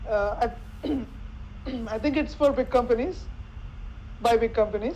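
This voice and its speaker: A woman speaks at a moderate pace with a Telugu accent. Her fairly high voice has ordinary pitch variation. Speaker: NLP expert panelist. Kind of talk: panel discussion. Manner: halting, with frequent repetitions.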